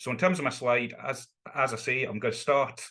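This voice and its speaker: With a strong Scottish accent, a man talks at a fairly quick pace in a bright, sharp tone. The background is quiet. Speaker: law academic. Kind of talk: online seminar lecture. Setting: video call.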